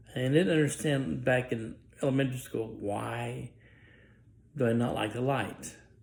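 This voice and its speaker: A man with a medium-pitched voice talks at a moderate pace, leaving long, frequent pauses. Room echo is audible, and his pitch varies in an ordinary way. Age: 60s. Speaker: author. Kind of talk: personal testimony. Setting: indoors, dim room. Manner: halting.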